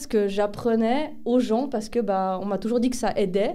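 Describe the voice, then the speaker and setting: Fairly quick speech from a woman, fairly high in pitch with ordinary variation, in a dark, mellow tone amid audible room echo. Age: 30s. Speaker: medium and pharmacy assistant. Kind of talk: interview. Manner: hesitant, many fillers.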